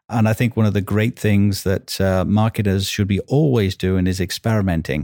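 A man with a Welsh accent talks at a fairly quick pace and fairly low pitch. His tone is dark and mellow, his intonation fairly even, and the sound dry and close with no echo. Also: very clean recording, silent background. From Wales. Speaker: marketing executive. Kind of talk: casual interview.

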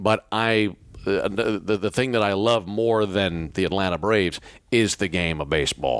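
In a very clean recording with a silent background, a man talks at a moderate pace with an American accent. His pitch is very deep and low. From Mississippi. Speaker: radio play-by-play broadcaster. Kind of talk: interview. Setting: hotel room.

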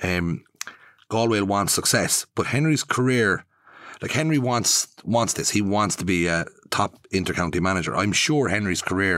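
A man with an Irish accent speaks at a fairly low pitch in a bright, sharp tone with lively intonation. His pace is moderate, and the recording is very clean with a silent background. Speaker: podcast host. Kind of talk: casual interview chat. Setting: studio. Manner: halting.

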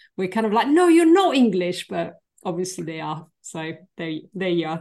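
This woman speaks at a moderate pace with a medium pitch. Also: big swings in loudness. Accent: French. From France, Paris suburbs. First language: French. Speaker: functional medicine practitioner and health coach. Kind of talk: podcast interview.

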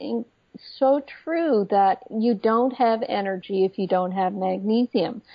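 In an ordinary speaking voice, a woman speaks fairly slowly at a fairly high pitch with ordinary pitch variation. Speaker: medical doctor and naturopath. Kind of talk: interview.

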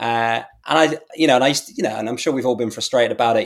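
A man with an English accent talks at a very fast pace at a medium pitch. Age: 40s. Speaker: brand strategist and newsletter writer. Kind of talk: casual interview chat. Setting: remote video call.

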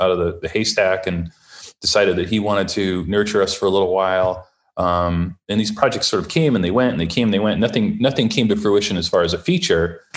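A man with an unremarkable speaking voice talks at a fairly quick pace in a fairly low pitch. His pitch varies in an ordinary way, in a very clean recording with a silent background. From US Midwest, Ohio. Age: 50s. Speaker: children's book author and former horror filmmaker. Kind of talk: casual interview.

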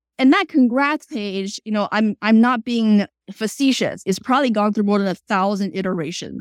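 In a very clean recording with a silent background and a dry, close sound with no echo, a woman with a Chinese accent speaks at a moderate pace with hardly any pauses, in a fairly high pitch with ordinary pitch variation. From China, then South Florida from age 12. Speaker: startup CEO. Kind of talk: interview.

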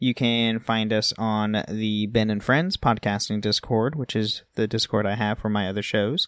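A normal speaking voice from a man at fairly low pitch, with fairly even intonation and moderate pace, dry and close with no echo against a quiet background. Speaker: podcast co-host. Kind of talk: casual chat.

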